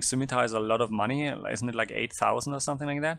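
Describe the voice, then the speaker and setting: With a German accent, a man talks at a very fast pace. His pitch is medium, with ordinary variation. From southern Germany. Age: 30s. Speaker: tabletop game player. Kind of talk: casual interview. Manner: halting, many fillers.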